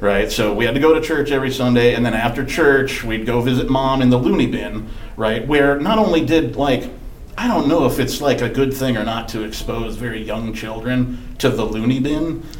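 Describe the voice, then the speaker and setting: A man with an American accent speaks at a moderate pace in a medium pitch with ordinary pitch variation, with noticeable background noise and audible room echo. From Wisconsin. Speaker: podcast host. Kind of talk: casual chat.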